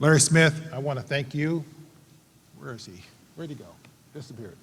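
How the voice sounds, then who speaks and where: The voice is somewhat breathy, with an American accent and ordinary pitch variation. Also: man. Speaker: award recipient, psychology professor. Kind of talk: acceptance speech. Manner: halting.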